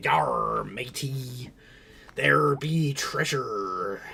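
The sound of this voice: A raspy, put-on character voice from a man.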